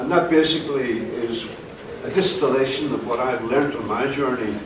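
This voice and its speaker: A man talks at a medium pitch with ordinary variation. Noticeable background noise and audible room echo come through. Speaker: self-published crime novelist, panelist. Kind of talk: panel talk. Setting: convention panel with audience. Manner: frequent 'uh' fillers.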